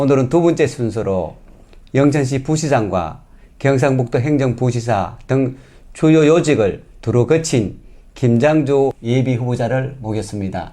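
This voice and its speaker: A man's medium-pitched voice with a Gyeongsang accent, dark and mellow in tone, with ordinary pitch variation and a fairly slow pace. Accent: Gyeongsang dialect (self-described). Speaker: local news interviewer. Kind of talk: political candidate interview.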